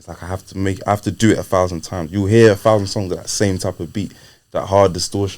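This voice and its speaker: Very fast speech from a man with a very deep, low pitch, a British accent and big swings in loudness. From UK, Nigerian heritage. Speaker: rapper. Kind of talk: casual interview chat. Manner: animated.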